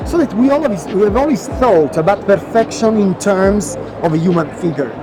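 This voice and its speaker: Noticeable background noise sits behind a man with a high pitch and lively intonation. He keeps a moderate pace and very even loudness. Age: 50s. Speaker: designer. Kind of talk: interview.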